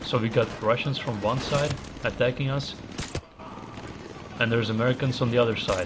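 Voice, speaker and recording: Against noticeable background noise, a man speaks at a moderate pace and medium pitch with fairly even intonation and long, frequent pauses. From Latvia. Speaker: gaming streamer. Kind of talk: live gameplay commentary. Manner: casual, conversational.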